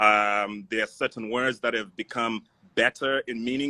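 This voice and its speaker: A man with an African accent, bright and sharp in tone, at a moderate pace with fairly even intonation. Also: dry, close sound with no echo. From Zimbabwe. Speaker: voice actor and film student. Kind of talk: casual discussion. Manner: halting, many fillers.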